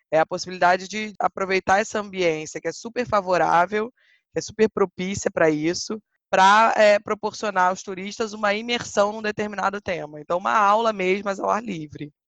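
Recorded with a dry, close sound and no echo, a woman talks in a plain, everyday voice at a medium pitch, with ordinary pitch variation and a moderate pace. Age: 30s. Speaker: historian and walking tour guide. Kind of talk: interview.

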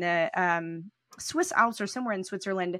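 Over a quiet background, a woman with a normal speaking voice talks at a fairly quick pace in a medium pitch with ordinary pitch variation. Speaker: podcast co-host. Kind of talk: casual interview conversation.

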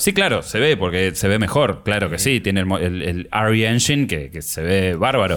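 The speaker's intonation is lively, at a moderate pace with hardly any pauses. Music plays in the background. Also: man. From Argentina. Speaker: podcast co-host. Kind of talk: casual chat.

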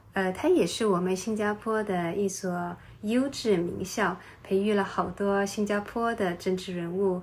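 A woman talks at a fairly slow pace and medium pitch in a plain, everyday voice. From Singapore. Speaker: podcast host. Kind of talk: travel podcast narration.

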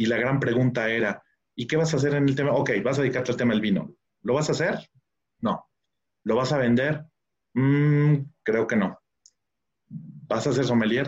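A man speaks at a moderate pace, his voice somewhat breathy and his intonation lively. He leaves long, frequent pauses. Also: very even loudness. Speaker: wine expert. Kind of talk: interview.

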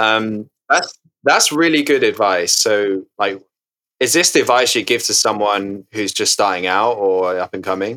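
Male voice, a normal speaking voice, fairly low in pitch with ordinary pitch variation and a fairly slow pace. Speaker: podcast host and music startup founder. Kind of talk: interview. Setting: remote recording. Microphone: poor audio quality.

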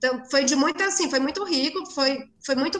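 A woman speaks at a moderate pace. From Ceará, Brazil (sertão, Cedro). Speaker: architecture professor and researcher. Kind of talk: casual interview.

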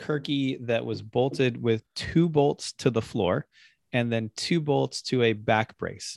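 A man speaks in a normal speaking voice at a medium pitch, with ordinary pitch variation and a fairly slow pace. The recording is very clean and silent behind him, with a dry, close sound and no echo. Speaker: podcast host. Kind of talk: casual chat.

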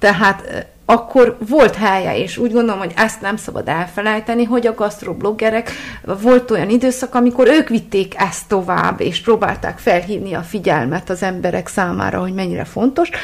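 With noticeable background noise, a woman talks at a moderate pace in a fairly high pitch with ordinary pitch variation. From Transylvania, Csíkszereda. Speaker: food blogger. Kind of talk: interview. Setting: home kitchen.

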